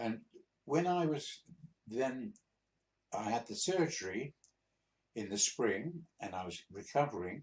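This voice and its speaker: A man with an English accent and medium pitch talks at a fairly slow pace, his voice making very wide pitch swings. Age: 80s+. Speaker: retired truck driver. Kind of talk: personal storytelling. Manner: halting; stuttering repetitions.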